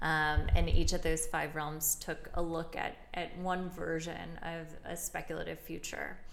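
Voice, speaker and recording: Hardly pausing, a woman with an American accent speaks at a fairly slow pace and fairly low pitch. Her intonation is monotone and flat, and audible room echo surrounds her. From Chicago south suburbs, Illinois. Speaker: gallery director and curator. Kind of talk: casual interview. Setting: art gallery.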